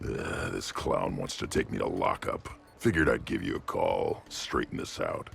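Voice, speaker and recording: In a put-on character voice, a man talks with an extremely high, raspy pitch, a deadpan tone and a moderate pace. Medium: video game. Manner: blunt, gruff, deadpan.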